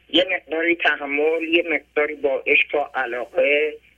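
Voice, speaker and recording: A man with a rather high pitch speaks somewhat slowly, with normal pitch movement. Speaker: caller. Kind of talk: phone-in testimony. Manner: plain simple speech.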